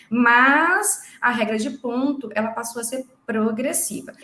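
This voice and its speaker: A woman with a normal speaking voice, a fairly high pitch and lively intonation. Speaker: lawyer. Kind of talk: live legal explainer. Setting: livestream.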